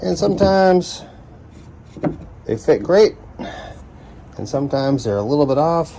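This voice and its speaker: The pitch swings very widely, at a moderate pace. Pauses are long and frequent. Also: man, fairly high pitch for a man. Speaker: woodworking hobbyist. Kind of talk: tutorial. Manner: casual, thinking aloud.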